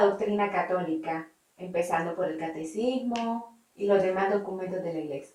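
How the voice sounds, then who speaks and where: A woman with a plain, everyday voice speaks at a fairly slow pace. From Nicaragua. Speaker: interviewer. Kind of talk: interview questions.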